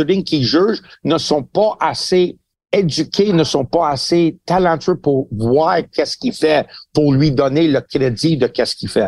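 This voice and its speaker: Here a man speaks with a high pitch and lively intonation. His pace is fairly slow. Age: 60s. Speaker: boxing trainer and pundit. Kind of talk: casual chat.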